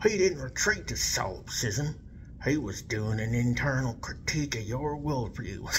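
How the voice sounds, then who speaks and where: A man puts on a character voice at a medium pitch. He talks at a moderate pace over clear background noise. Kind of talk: comic reenactment of an online argument. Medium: solo performance. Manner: condescending, dismissive, evasive.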